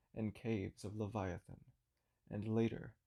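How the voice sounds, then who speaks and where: A soft-spoken man with a fairly low pitch, a dark, mellow and calm tone, monotone, flat intonation and a fairly slow pace. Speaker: narrator. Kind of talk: sleep story. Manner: soft, ethereal, calm.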